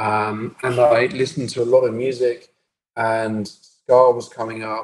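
A man's medium-pitched voice at a fairly slow pace with fairly even intonation. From southern England, Brighton. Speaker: techno DJ and producer. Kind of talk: interview conversation.

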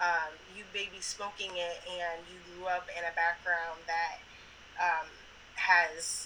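A woman's fairly low-pitched voice at a fairly slow pace, with noticeable background noise. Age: 30s. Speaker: podcast guest, cannabis enthusiast. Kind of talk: casual chat.

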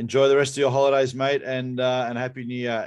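Someone speaks at a very fast pace in an Australian accent. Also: man. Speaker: podcast host. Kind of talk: casual chat. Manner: animated.

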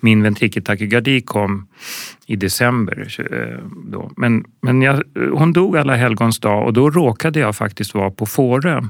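An ordinary speaking voice at a fairly slow pace. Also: man. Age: 50s. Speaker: film director and ambulance nurse. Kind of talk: interview.

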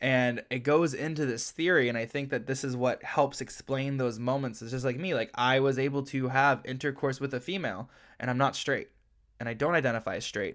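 Heard on a very clean recording with a silent background, a man talks in an animated tone at a medium pitch and a fairly quick pace. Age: 20s. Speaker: podcast host. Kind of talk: casual chat.

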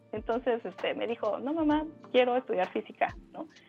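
Lively intonation from a woman at a moderate pace, with music in the background. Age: 40s. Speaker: illustrator and artist. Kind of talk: casual interview chat. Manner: hesitant, many fillers and repetitions.

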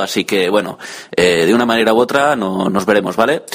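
Noticeable noise sits in the background. A man speaks with ordinary pitch variation. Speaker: tech blogger sending a listener audio message. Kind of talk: recorded voice message. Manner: improvised, hesitant.

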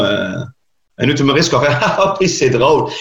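A somewhat breathy man's voice with a Quebec accent. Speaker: stand-up comedian. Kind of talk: casual interview chat.

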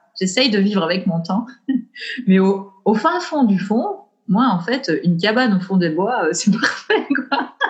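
In a Belgian accent, a woman with a medium pitch talks at a very slow pace, her intonation lively and her loudness very even. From Belgium, Ardennes. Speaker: perinatal coach. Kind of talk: interview conversation. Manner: halting.

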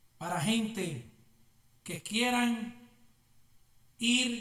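Raised and projected, a man's high-pitched voice sounds animated, with lively intonation. Room echo is audible. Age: 40s. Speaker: pastor. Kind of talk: sermon. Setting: church.

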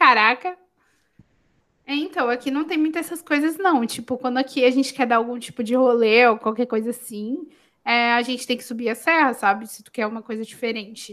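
A woman talks at a moderate pace in a high voice with ordinary pitch variation and big shifts in loudness. The recording is very clean, with a silent background. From Santos, São Paulo state, Brazil. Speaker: podcast host. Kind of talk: casual chat.

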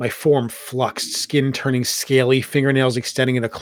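The speaker uses a natural reading voice. It comes across as a natural reading voice throughout.

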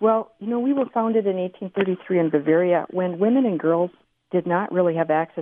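Speaking at a moderate pace, a woman with a plain, everyday voice uses lively intonation around a medium pitch. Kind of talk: radio interview.

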